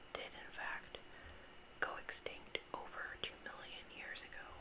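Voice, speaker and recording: The speaker whispers. Noticeable background noise runs underneath. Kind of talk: whispered informational ramble about sharks, ASMR. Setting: recorded on a desktop USB microphone with some background noise. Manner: whispered, soft-spoken.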